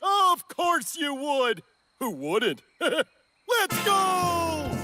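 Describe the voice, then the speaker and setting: A cartoonish character voice from a booming man, pompous and cheerful in tone, at a very slow pace over faint music in the background. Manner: pompous, loud, cheerful.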